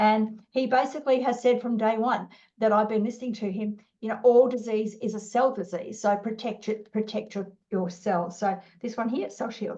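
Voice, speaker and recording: A woman with an Australian accent, a fairly high pitch, a dark, mellow tone and a fairly quick pace. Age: 60s. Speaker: business owner. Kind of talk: interview. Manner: animated; halting.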